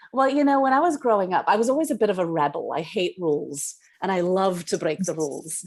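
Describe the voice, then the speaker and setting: With a Welsh accent, a woman talks at a very fast pace with very wide pitch swings. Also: medium pitch for a woman. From Wales, Cardiff. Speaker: playwright and director. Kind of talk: interview.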